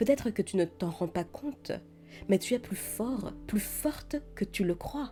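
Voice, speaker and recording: Over music in the background, a woman with a gentle, warm tone and medium pitch speaks at a fairly slow pace with lively intonation. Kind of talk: soothing comfort message to camera. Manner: soft, gentle, warm.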